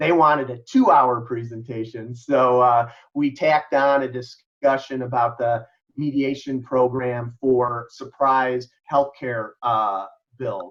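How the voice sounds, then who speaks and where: A man's medium-pitched voice with a Chicago accent, a very slow pace and fairly even intonation over a quiet background. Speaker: mediator and lawyer. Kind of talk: presentation. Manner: halting, many fillers.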